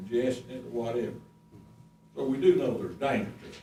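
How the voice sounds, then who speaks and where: A man with an Appalachian accent talks fairly quickly at a medium pitch, with lively intonation. Noticeable background noise and audible room echo surround his voice. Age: 70s. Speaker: resident speaking at public hearing. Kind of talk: public comment at county meeting. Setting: county board meeting room with audience.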